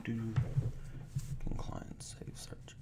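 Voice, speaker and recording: A man speaks with audible room echo and noticeable background noise behind him. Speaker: software trainer. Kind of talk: webinar tutorial. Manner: loud.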